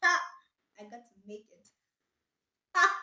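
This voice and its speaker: A woman projects a raised voice at an extremely high pitch, bright and sharp in tone, animated, with very wide pitch swings. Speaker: vlogger. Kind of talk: casual vlog talk to camera. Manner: loud.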